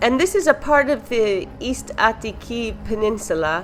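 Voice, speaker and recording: A woman speaks with music in the background. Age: 50s. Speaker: vlogger. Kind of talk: video narration.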